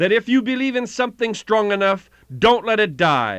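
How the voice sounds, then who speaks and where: A man with a high voice speaks in a bright, sharp, dramatic tone against a quiet background. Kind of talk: history documentary narration. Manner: formal, measured, storytelling delivery with dramatic emphasis.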